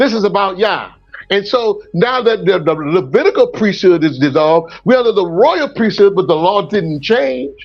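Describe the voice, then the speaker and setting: A man with a high pitch, an animated tone, and very even loudness, with music in the background. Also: lively intonation, moderate pace. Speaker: preacher. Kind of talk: teaching in an open group discussion.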